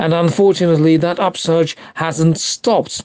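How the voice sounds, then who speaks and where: This man has a plain, everyday voice. He speaks at a fairly high pitch and a moderate pace. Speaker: security analyst. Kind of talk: interview.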